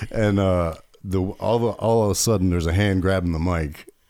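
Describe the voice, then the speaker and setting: This man has a normal speaking voice with a fairly low pitch. He speaks at a moderate pace. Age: 30s. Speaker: podcast host and open-mic comedian. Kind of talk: casual chat.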